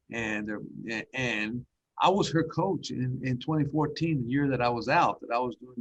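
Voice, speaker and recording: Ordinary pitch variation and a fairly quick pace from a man with a somewhat breathy voice. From Dallas, Texas (immigrant, raised there). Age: 60s. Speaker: school district superintendent. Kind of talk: podcast interview.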